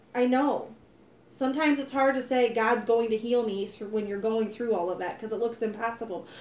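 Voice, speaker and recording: An unremarkable speaking voice, a woman with an American accent talks at a moderate pace and fairly high pitch, her intonation fairly even. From US Midwest, North County. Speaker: host's wife. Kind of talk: testimony.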